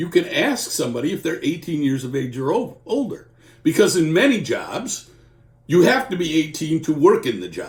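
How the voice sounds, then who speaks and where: Here a man talks at a moderate pace. His fairly high pitch swings very widely. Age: 60s. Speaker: employment lawyer. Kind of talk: informal legal explainer. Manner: conversational.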